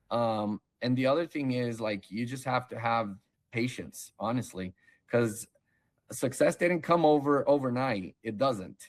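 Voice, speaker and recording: A man with a plain, everyday voice speaks at a medium pitch and a fairly slow pace, with ordinary pitch variation. The recording is very clean, with a silent background. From Brazil, moved to US as child in 1991. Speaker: online seller, case-study interviewee. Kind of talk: interview. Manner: casual, conversational.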